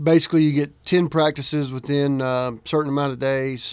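Speaking at a moderate pace with an ordinary speaking voice, a man keeps a medium pitch and fairly even intonation. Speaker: high school football coach. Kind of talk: radio interview.

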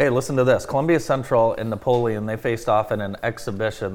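With a normal speaking voice, a man at medium pitch speaks at a fairly quick pace with fairly even intonation. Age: 40s. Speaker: radio morning show host. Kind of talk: casual chat.

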